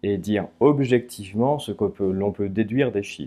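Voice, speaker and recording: At a fairly slow pace, a man with a fairly low pitch speaks with ordinary pitch variation. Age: 30s. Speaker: statistician and author. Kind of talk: interview. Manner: frequent hesitations (euh).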